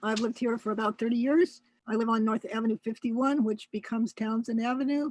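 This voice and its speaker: A woman speaks at a high pitch with fairly even intonation. The sound is dry and close, with no echo. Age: 80s+. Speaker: local resident giving public comment. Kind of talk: public comment.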